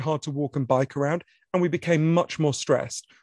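Against a quiet background, a man with a British accent speaks with ordinary pitch variation in a dry, close sound with no echo. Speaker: author. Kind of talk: moderated author conversation. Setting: online event with audience Q&A. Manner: fast talker.

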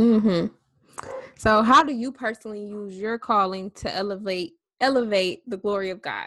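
At a moderate pace, a woman speaks at a medium pitch with fairly even intonation in a plain, everyday voice. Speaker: podcast host, ministry founder. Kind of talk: casual interview.

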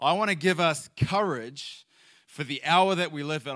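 A man speaks with a fairly high pitch, a bright, sharp tone and ordinary pitch variation. The recording is very clean, with a silent background. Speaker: missionary. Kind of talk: sermon. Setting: church.

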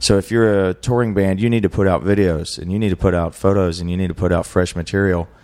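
A man with a normal speaking voice and a fairly low pitch uses ordinary pitch variation. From West Virginia, moved around (Carolinas, Arizona). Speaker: musician and photographer. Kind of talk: casual interview chat.

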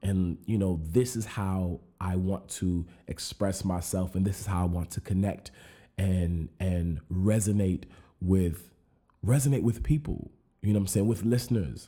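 In a very clean recording with a silent background, a man with an American accent speaks at a fairly slow pace with a very deep, low pitch, a dark, mellow tone and ordinary pitch variation. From rural Arizona. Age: 30s. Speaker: podcast host. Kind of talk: solo monologue. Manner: casual, many fillers and repetitions.

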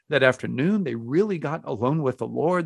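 A man speaks at a very fast pace with an American accent. His intonation is lively, and the background is quiet. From Texas, Houston. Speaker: pastor and author. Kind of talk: interview.

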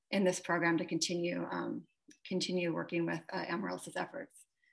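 A woman in an ordinary speaking voice, fairly low in pitch, at a fairly quick pace over a quiet background. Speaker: history professor. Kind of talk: panel discussion. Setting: video call.

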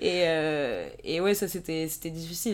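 A woman with a plain, everyday voice talks at a fairly low pitch with fairly even intonation, in a very clean recording with a silent background. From France, Yvelines (Paris south suburbs). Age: 20s. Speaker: student and Instagram creator. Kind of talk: casual interview chat. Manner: casual, filler-heavy.

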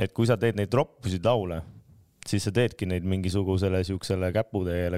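On a very clean recording with a silent background and a dry, close sound free of echo, a man speaks in a very deep, low pitch with a dark, mellow tone and fairly even intonation. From Estonia, Tartu. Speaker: rapper. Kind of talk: casual chat. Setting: studio.

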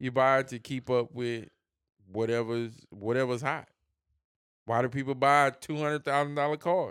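A moderate pace with long, frequent pauses and fairly even intonation, in a very clean recording with a silent background. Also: man. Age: 30s. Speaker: podcast co-host. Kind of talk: casual chat.

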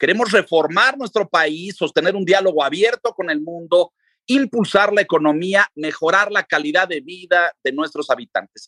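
A man with a high pitch speaks at a moderate pace in a raised, projected voice, with hardly any pauses and lively intonation. His tone is bright and sharp, and the sound is dry and close with no echo. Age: 60s. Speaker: journalist and radio/TV presenter. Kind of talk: history lecture in radio interview.

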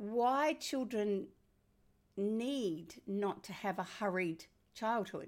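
On a very clean recording with a silent background, a woman with an Australian accent speaks at medium pitch with ordinary pitch variation. Her pace is very slow, with long, frequent pauses. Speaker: parenting author. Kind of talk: interview.

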